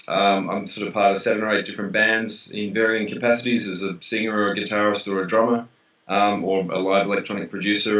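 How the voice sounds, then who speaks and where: With an Australian accent, a man talks at a fairly quick pace in a monotone, flat intonation. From Australia, Melbourne. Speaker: DJ and musician. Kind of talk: interview. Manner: casual, hesitant with fillers.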